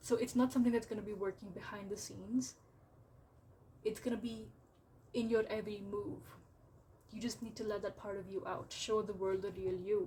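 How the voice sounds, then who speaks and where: A woman talks at a fairly quick pace with a medium pitch and vocal fry. She leaves long, frequent pauses. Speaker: tarot reader. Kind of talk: tarot reading to camera. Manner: casual, filler-heavy with repetitions.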